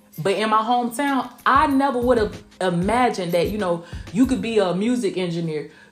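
With a Southern US accent, a woman speaks at a fairly quick pace in an animated tone, her fairly high pitch rising and falling in lively intonation over noticeable background noise. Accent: Southern US, country. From southwest Georgia, US South. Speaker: R&B recording artist and podcast host. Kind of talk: casual solo podcast monologue. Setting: recorded at night in Tampa. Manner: chatty, animated, uses 'honey' and 'y'all'.

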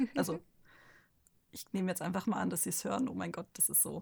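Vocal fry runs through a woman's speech. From Ostwestfalen-Lippe, Germany. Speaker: manga artist. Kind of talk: casual chat.

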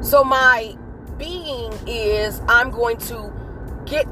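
A woman speaks in a warm, animated tone against noticeable background noise. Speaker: podcast host. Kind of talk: solo monologue, motivational talk. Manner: warm, chatty, animated.

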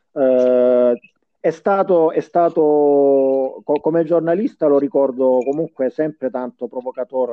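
Medium in pitch with ordinary pitch variation, the man has a plain, everyday voice. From Salento, Puglia, southern Italy. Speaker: podcast co-host. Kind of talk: casual chat.

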